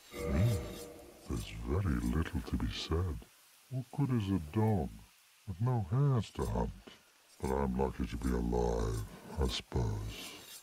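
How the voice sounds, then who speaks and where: A man's put-on character voice, very deep and low in pitch, solemn in tone, at a moderate pace with long, frequent pauses. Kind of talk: archaic fantasy speech. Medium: video game. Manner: slow, solemn, archaic.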